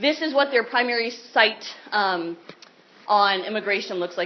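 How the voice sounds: A woman talks at medium pitch with ordinary pitch variation.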